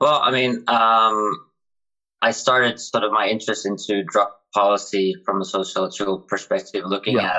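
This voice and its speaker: Speaking at a moderate pace, a man holds a medium pitch with ordinary pitch variation and very even loudness. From Finland. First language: Finnish. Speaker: PhD student and drug policy activist. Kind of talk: casual chat. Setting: friend's house.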